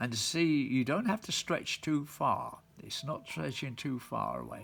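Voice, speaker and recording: Very slowly, a man gets his words out. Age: 90s. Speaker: engraving instructor. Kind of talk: tutorial. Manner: halting.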